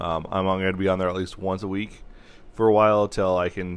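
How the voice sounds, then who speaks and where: A man's very deep, low voice in a flat monotone. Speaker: sports podcast host. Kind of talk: casual chat. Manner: loud.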